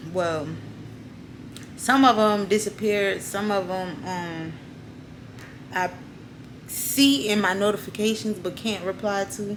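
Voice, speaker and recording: The speech moves at a fairly slow pace with ordinary pitch variation and long, frequent pauses. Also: woman, medium pitch for a woman. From US South, New Orleans. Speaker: YouTuber. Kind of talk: casual vlog talk.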